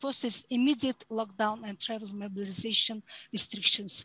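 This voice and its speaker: A woman with a Mongolian accent at a moderate pace, fairly even in intonation, over a quiet background with a dry sound and no echo. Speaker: human rights advocate; panelist. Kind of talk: conference presentation; prepared conference statement. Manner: halting. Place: home room. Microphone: headset.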